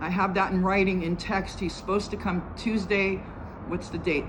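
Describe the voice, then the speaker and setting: Noticeable background noise and audible room echo around a woman's medium-pitched voice at a moderate pace. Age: 60s. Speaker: homeowner making a complaint. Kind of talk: recorded complaint statement. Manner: halting.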